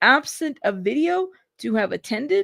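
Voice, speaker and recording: An animated woman's voice, dry and close with no echo, on a very clean recording with a silent background. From Mexican-American, Spanish-speaking home in US. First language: Spanish. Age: 40s. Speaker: YouTube news livestreamer. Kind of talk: live commentary with casual chat.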